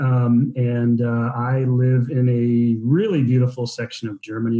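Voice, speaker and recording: Somewhat breathy, a man with an American accent talks at a medium pitch in a dark, mellow tone. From US. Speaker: business owner, guest. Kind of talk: podcast interview. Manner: hesitant, many fillers.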